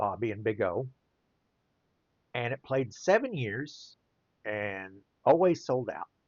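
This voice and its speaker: A man with a Southern US accent talks at a fairly slow pace. His pitch sits in the medium range but swings very widely. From US mid-south. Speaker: children's book illustrator and playwright. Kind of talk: casual monologue while drawing. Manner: rambling, conversational.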